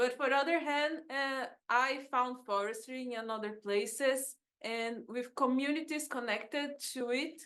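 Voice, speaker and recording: Speaking very slowly in a Brazilian accent, a woman uses a high pitch and fairly even intonation. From Brazil, São Paulo. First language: Portuguese. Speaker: agroecologist and researcher. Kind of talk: conference talk. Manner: halting.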